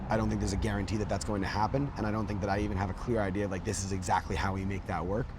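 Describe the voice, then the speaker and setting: Over noticeable background noise and audible room echo, a man with a fairly low pitch and ordinary pitch variation talks at a very fast pace. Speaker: lead singer of a band. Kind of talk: interview. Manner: filler-heavy, many likes and ums.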